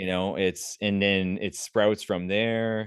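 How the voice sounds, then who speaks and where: Speaking in a Canadian accent, a man uses a normal speaking voice at a fairly slow pace with ordinary pitch variation. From Canada, Prince Edward Island. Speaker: vegan animal activist. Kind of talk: podcast interview answer.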